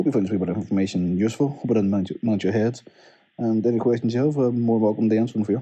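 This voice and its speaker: A man with a Northern Irish accent. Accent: Derry. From Northern Ireland, Derry. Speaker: PhD student. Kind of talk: recorded research summary. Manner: casual.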